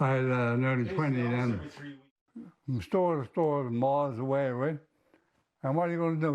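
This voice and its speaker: In a Newfoundland accent, a man speaks at a medium pitch and a moderate pace. Behind him, the background stays quiet. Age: 90s. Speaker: retired businessman. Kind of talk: interview.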